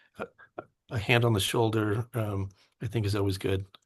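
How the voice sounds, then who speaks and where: Against a quiet background, a man talks at a medium pitch and a moderate pace. His voice is somewhat breathy, with fairly even intonation. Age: 50s. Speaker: teacher. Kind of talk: interview. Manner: halting.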